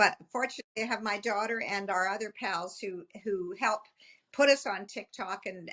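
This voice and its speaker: Recorded dry and close with no echo, a woman with a medium pitch sounds bright and sharp. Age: 70s. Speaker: children's singer. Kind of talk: interview.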